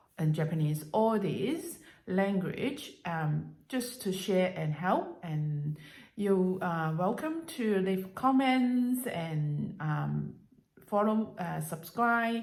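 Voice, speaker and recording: A woman's somewhat breathy, medium-pitched voice at a very slow pace, lively in intonation, with audible room echo. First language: Cantonese and Mandarin. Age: 50s. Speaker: language learning vlogger. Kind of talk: casual vlog monologue. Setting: at home. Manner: halting, many fillers.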